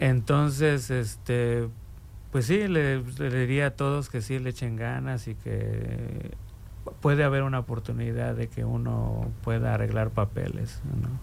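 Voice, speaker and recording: Audible room echo hangs around the voice. The man talks at a fairly slow pace. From Mexico City. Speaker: community commission member. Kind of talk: interview. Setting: radio studio.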